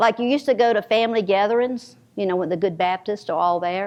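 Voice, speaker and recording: A woman with a Southern US accent talks at a very fast pace with lively intonation. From US South, North Carolina. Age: 70s. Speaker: novelist. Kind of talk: author talk with audience. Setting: library event with audience. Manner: halting, with many repetitions.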